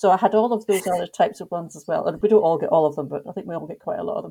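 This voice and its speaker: In a Scottish accent, this voice has a dark, mellow tone and ordinary pitch variation. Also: woman. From Scotland. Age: 50s. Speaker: tour company owner. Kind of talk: casual chat.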